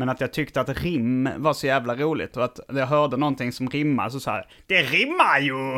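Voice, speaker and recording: In a very clean recording with a silent background, a man with a bright, sharp tone speaks at medium pitch and a moderate pace, monotone and flat, with hardly any pauses. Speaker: comedian. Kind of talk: casual chat.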